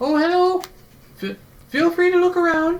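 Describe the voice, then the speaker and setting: Putting on a character voice, a man speaks at a moderate pace in an extremely high pitch. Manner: welcoming.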